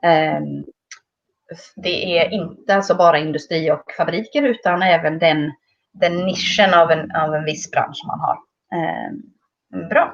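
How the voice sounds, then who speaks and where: Speaking at a fairly slow pace with long, frequent pauses, a woman uses a fairly low pitch marked by vocal fry. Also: ordinary pitch variation. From Sweden. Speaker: English teacher. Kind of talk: online lesson.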